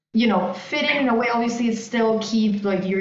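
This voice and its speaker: A woman at a fairly quick pace with ordinary pitch variation, audible room echo and noticeable background noise. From outside the US. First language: not English. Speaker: fintech partnerships director. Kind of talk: podcast interview.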